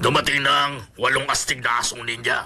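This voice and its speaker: A man does a raspy, put-on character voice at a fairly quick pace. Faint music plays in the background. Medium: fan dub.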